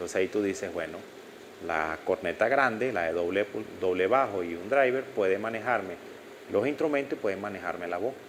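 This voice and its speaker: In a room with audible echo, a man talks fairly quickly at a fairly low pitch with lively intonation. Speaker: audio instructor. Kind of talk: lecture. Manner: halting.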